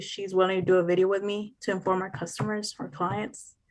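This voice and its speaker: A woman with a Spanish accent, very fast and with fairly even intonation. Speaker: new real estate agent. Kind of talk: group video call discussion.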